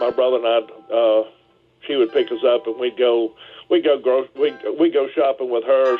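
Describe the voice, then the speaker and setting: A man at medium pitch and a fairly quick pace, in monotone, flat intonation, with music in the background. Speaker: Packard collector. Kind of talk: interview answer, storytelling.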